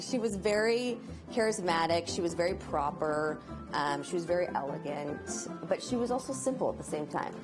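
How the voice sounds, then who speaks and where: Music plays in the background as a woman with a fairly low pitch talks at a moderate pace, her pitch swinging very widely. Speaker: homeowner interviewed for local news. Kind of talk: interview answer.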